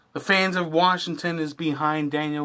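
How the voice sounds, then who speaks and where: Recorded very cleanly with a silent background, a man talks at a moderate pace. His pitch is fairly high. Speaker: wrestling reaction youtuber. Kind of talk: casual video commentary. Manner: halting, stumbling over words.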